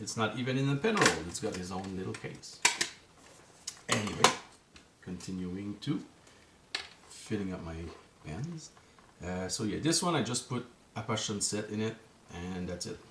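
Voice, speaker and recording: Through noticeable background noise and audible room echo, a man with a French Canadian accent speaks at a moderate pace with lively intonation and long, frequent pauses. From Quebec. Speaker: journaling vlogger. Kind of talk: casual vlog talk to camera. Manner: halting, searching for words.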